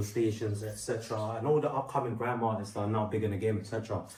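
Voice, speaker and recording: Very fast and monotone with flat intonation, a man with a fairly low pitch speaks amid audible room echo and noticeable background noise. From London. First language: Portuguese. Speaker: rapper and singer. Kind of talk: testimony. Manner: casual, with many fillers.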